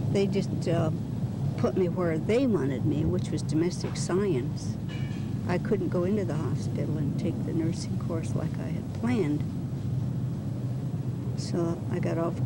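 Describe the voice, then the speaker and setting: A woman speaks at a fairly slow pace with long, frequent pauses. The sound is dry with no echo, but loud background noise is present. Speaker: interviewee. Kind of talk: interview answer. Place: garden.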